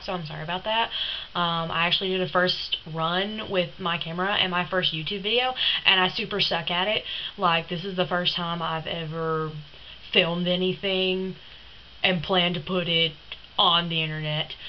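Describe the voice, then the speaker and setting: The speaker has a Southern US accent and a monotone, flat intonation. Background noise is noticeable. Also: woman, fairly low pitch for a woman, moderate pace. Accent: Southern US twang. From Tennessee. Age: young. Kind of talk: casual talk to camera.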